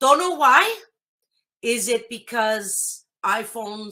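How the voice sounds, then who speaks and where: This woman's voice sits fairly high in pitch, with a bright, sharp tone and ordinary pitch variation. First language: Greek. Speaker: blind tech tutorial host. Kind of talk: tutorial. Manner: casual.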